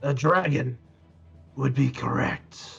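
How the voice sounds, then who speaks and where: Using a raspy put-on character voice, a man speaks at a medium pitch. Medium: actual play. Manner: gruff, terse.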